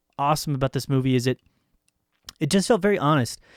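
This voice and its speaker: Recorded very cleanly against a silent background, a man with fairly high pitch sounds dry and close, with no echo. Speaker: film review podcast host. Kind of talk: casual chat. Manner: hesitant, lots of fillers.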